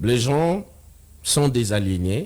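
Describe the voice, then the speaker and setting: Very slowly, a man speaks with lively intonation. His tone is dark and mellow, and somewhat breathy. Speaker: debater on religion. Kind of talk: TV talk show debate.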